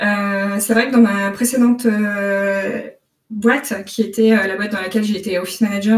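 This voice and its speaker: A woman talks at a moderate pace with fairly even intonation. Her pitch sits fairly high. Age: 30s. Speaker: software developer intern, career changer. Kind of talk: casual interview. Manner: hesitant, many fillers and repetitions.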